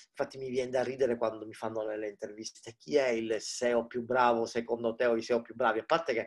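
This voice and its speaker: With hardly any pauses, a man talks at a fairly quick pace in a medium pitch. His intonation is monotone and flat. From Palermo, Sicily. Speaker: digital marketing expert and startup mentor. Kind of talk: casual interview chat. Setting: video call from home. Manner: informal, chatty, jokes.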